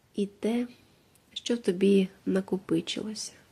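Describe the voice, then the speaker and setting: A soft-spoken woman's very slow, calm delivery, with a dark, mellow tone and fairly even intonation. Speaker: meditation guide. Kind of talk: meditative monologue for sleep. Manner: calm, quiet; slow, soft-spoken.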